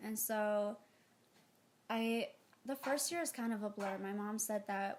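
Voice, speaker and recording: Speaking with an Ethiopian accent, a woman uses a fairly high pitch. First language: Amharic. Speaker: interviewee, adoptee. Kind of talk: casual interview. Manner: hesitant, many fillers.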